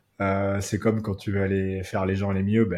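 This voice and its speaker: A man's fairly low voice, dark and mellow in tone, at a moderate pace, on a very clean recording with a silent background. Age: 20s. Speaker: entrepreneur, racing school cofounder. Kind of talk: casual interview chat.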